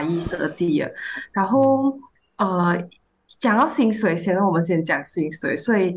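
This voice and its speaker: Here is a woman with a plain, everyday voice. Her pitch sits in the middle, and her intonation is lively. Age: 20s. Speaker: fresh graduate and intern. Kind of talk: casual chat.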